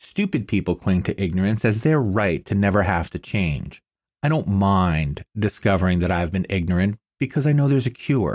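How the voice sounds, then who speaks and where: A man with a plain, everyday voice speaks at a moderate pace with lively intonation and a fairly low pitch, in a dry, close sound with no echo on a very clean recording with a silent background. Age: 50s. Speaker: podcast host and writer. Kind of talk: personal essay monologue.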